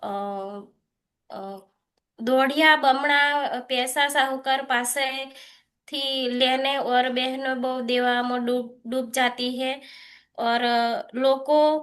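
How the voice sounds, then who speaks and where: The woman's pitch is high, and her intonation stays fairly even. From Gujarat. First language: Gujarati (speaking Hindi). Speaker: cooperative member. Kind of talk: webinar talk. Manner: halting.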